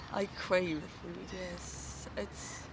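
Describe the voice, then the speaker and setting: Noticeable background noise and audible room echo around a woman at a fairly low pitch with a Kosovar accent. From Kosovo. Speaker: actress. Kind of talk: casual interview. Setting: outdoors in a park. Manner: halting, many false starts.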